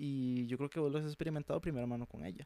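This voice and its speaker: A man speaks at a very fast pace with a fairly high pitch. The sound is dry and close, with no echo. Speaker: podcast host. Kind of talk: casual chat.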